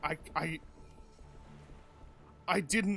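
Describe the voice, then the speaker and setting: A raspy, put-on character voice from a man, fairly even in intonation, over clear background noise. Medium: actual play. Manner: hesitant, halting, with filler words.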